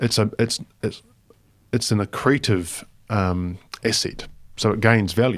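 In a New Zealand accent, a man with a fairly low pitch speaks at a fairly slow pace with fairly even intonation and long, frequent pauses, in a very clean recording with a silent background. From New Zealand, Palmerston North. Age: 40s. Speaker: charity foundation chief executive. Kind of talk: interview. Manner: casual, with many fillers.

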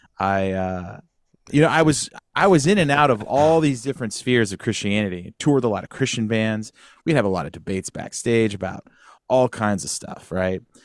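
On a very clean recording with a silent background, a man with an American accent and an unremarkable speaking voice talks fairly quickly at a medium pitch with lively intonation. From Northern California, Sacramento area. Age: 40s. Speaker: podcast host, former musician. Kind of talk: casual chat.

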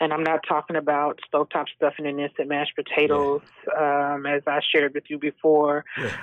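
A woman with a very deep, low pitch talks at a fairly quick pace in a monotone with flat intonation. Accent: American. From Texas. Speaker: bereaved mother, charity founder. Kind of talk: interview testimony. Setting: remote call.

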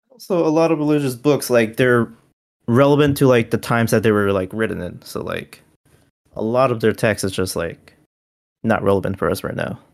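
Very clean and free of background sound, this recording captures a man with a normal speaking voice. He speaks at a fairly quick pace in a medium pitch, with ordinary pitch variation. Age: 20s. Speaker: podcast co-host. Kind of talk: casual chat.

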